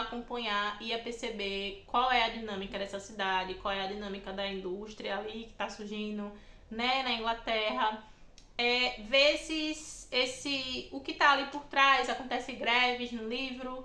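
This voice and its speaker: Her tone animated and her pitch fairly high, a woman speaks with big swings in loudness and audible room echo. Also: ordinary pitch variation, fairly slow pace. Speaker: book YouTuber. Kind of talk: casual vlog monologue.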